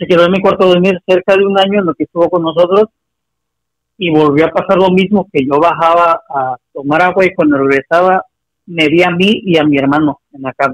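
The man's voice is high-pitched. The sound is dry and close, with no echo. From Acapulco, Mexico. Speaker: caller. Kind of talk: phone-in story telling.

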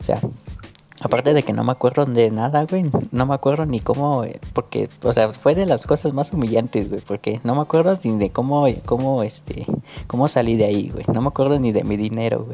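A plain, everyday voice from a man, medium-pitched, fairly quick, with ordinary pitch variation. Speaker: podcast host. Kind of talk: casual chat.

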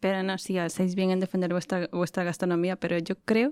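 A woman's plain, everyday voice at medium pitch and moderate pace, dry and close with no echo, on a very clean recording with a silent background. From Ecuador. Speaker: podcast co-host. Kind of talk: casual chat.

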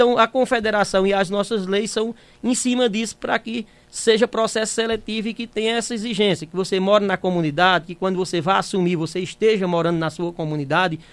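High pitch in a man's voice, with ordinary pitch variation. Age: 50s. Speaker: union president and community health agent. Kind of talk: radio interview. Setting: radio studio.

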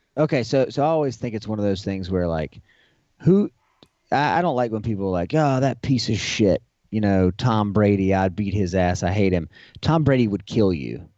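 Using a normal speaking voice, a man with a fairly low pitch and lively intonation speaks at a moderate pace. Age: 40s. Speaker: podcast co-host. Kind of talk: casual chat.

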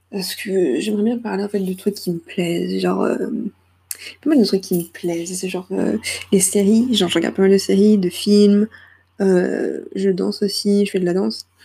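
Somewhat breathy and dark, mellow in tone, a woman speaks at a moderate pace and medium pitch with fairly even intonation and long, frequent pauses. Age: 20s. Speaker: student podcaster. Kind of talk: casual monologue. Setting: at home, late night. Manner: hesitant, many fillers.

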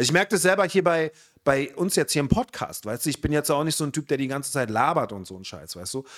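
A man talks at a very fast pace, fairly high in pitch, with very wide pitch swings. His loudness swings widely, and there is vocal fry. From Berlin (Spandau). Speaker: podcast host. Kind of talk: casual chat.

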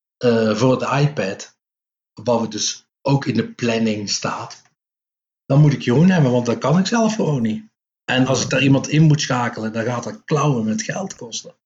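Ordinary pitch variation and a moderate pace in a somewhat breathy voice. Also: man, medium pitch for a man. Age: 50s. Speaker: comic book writer and publisher. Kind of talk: casual interview.

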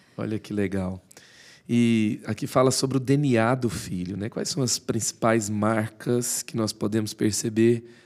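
In a very clean recording with a silent background, a man talks in an ordinary speaking voice. His pitch is medium, his intonation fairly even, and his pace fairly slow. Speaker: podcast host. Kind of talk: interview.

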